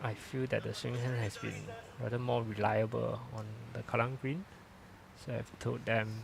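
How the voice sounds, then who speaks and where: The pace is moderate. Long, frequent pauses break up the speech. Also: man. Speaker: lawn bowls commentator and coach. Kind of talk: live sports commentary. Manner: speaking louder after feedback.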